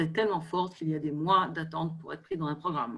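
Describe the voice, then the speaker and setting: Fairly low in pitch, a woman talks with fairly even intonation. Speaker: equine therapy expert. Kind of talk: online panel discussion. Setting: video call. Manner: halting, many hesitations.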